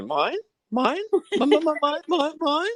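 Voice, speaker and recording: Put-on character voice, high in pitch. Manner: squawking, short repeated squawks.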